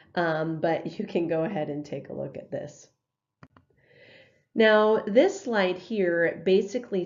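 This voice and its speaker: A woman's voice with ordinary pitch variation carries audible room echo. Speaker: math teacher. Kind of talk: lecture. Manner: hesitant, many fillers.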